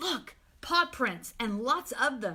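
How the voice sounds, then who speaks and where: Putting on a character voice, a woman speaks with a high pitch. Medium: read story.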